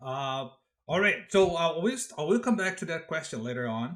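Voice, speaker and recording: Lively intonation marks a man speaking with a Brazilian accent. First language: Portuguese. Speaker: podcast host, college instructor. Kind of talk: interview.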